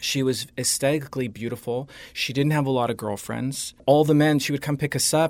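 A man with an American accent and medium pitch speaks at a fairly quick pace with fairly even intonation. The recording is very clean, with a silent background. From Southern California, Orange County. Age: 50s. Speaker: makeup artist and photographer. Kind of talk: interview.

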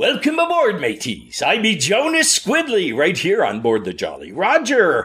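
A man's put-on character voice at a moderate pace. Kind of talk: pirate speech.

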